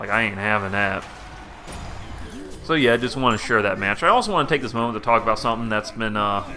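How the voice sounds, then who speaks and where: The speaker has a Southern US accent and talks at a very fast pace, broken by long, frequent pauses. Music runs in the background. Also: man, medium pitch for a man, ordinary pitch variation. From US South, Georgia (southern metro Atlanta). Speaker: gaming YouTuber. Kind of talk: casual commentary to camera. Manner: halting, many fillers.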